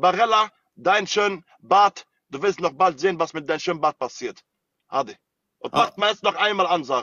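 Against a quiet background, a man with a high-pitched voice speaks with long, frequent pauses in a dry sound with no echo. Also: ordinary pitch variation, moderate pace. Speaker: TikTok live streamer. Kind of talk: heated live-stream argument. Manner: animated. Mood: angry, threatening. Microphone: phone near.

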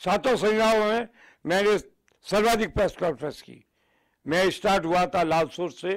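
The speech moves at a fairly slow pace with long, frequent pauses and ordinary pitch variation. Loudness swings widely against a quiet background. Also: man, high pitch for a man. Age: 80s+. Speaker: veteran politician, former union minister; former minister, politician. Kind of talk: TV news interview. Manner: energetic, forceful. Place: home room. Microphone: handheld.

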